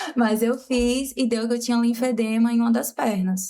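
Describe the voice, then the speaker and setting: Her pitch fairly high and her tone dark and mellow, a woman talks at a moderate pace with monotone, flat intonation. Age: 20s. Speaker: makeup artist and teacher, patient. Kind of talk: casual interview, personal testimony.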